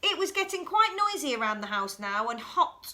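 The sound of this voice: A woman at a fairly slow pace, with big pitch swings and a bright, sharp tone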